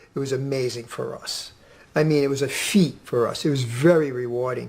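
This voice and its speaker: This man's voice carries some breathiness. He keeps to a moderate pace. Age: 60s. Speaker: health coach. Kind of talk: radio interview.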